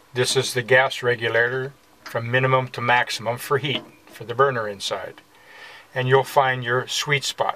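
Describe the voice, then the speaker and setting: Over light background noise, someone talks at a fairly slow pace. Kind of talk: tutorial. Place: bathroom.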